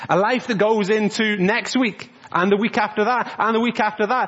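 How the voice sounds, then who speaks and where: The speaker sounds animated, with ordinary pitch variation and noticeable background noise. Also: man. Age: 30s. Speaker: church youth and children's worker. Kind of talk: family church service talk. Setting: church.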